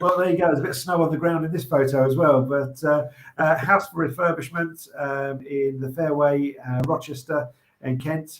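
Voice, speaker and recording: This man's intonation is fairly even. He talks at a moderate pace. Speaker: auctioneer presenting property lots. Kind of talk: casual banter while presenting live online auction lots.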